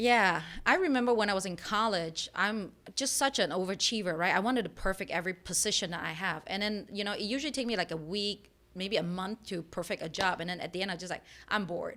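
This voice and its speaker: Her tone bright and sharp, a woman with a medium pitch talks at a very fast pace with ordinary pitch variation. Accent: non-native. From Malaysia. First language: not English. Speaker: entrepreneur. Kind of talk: interview.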